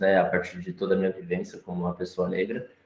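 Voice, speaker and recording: The speaker is a man. He talks with a very deep, low pitch. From Brazil, São Paulo. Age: 20s. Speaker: visual artist. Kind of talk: panel talk presenting own work. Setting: live-streamed gallery talk. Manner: halting, many repetitions and fillers.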